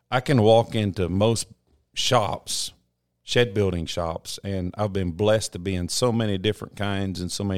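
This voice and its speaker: An unremarkable speaking voice from a man, fairly low in pitch and at a moderate pace, in a very clean, dry, close recording with a silent background and no echo. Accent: American. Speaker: shed hauler and builder. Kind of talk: casual interview chat. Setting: studio.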